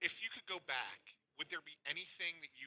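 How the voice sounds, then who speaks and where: In an American accent, a man talks at a moderate pace with vocal fry and a bright, sharp tone, recorded with a dry, close sound and no echo. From Philadelphia. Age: 50s. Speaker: radio host. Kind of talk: radio interview.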